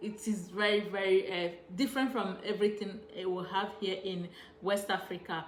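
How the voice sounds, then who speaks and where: With audible room echo and noticeable background noise, a woman speaks in a Nigerian accent at a moderate pace, her medium pitch carrying fairly even intonation. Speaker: travel vlogger. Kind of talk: casual vlog monologue. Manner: hesitant, many fillers.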